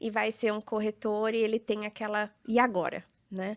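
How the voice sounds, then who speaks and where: Here is a normal speaking voice from a woman, fairly high in pitch and fairly slow in pace. The recording is very clean, with a silent background. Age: 30s. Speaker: real estate entrepreneur and influencer. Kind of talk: podcast interview.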